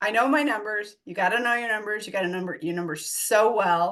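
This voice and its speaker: A woman with a fairly high pitch speaks in an animated, bright, sharp tone with ordinary pitch variation. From US, Denver Colorado. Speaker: real estate investor and coach. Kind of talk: podcast interview.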